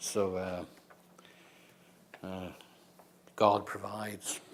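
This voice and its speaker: A man speaks with an Irish accent. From Ireland. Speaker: poet. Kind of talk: casual remarks to audience.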